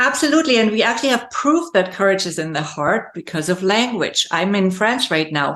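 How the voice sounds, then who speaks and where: A woman with a German accent, medium-pitched, fairly quick, with very wide pitch swings and hardly any pauses. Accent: German-speaking accent in English. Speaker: leadership coach and speaker. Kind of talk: interview conversation.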